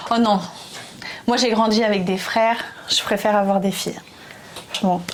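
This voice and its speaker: Her voice is fairly high, and the speaker is a woman. Audible room echo and noticeable background noise fill the recording. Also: moderate pace. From France. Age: 20s. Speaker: YouTuber. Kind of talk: casual chat. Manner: animated.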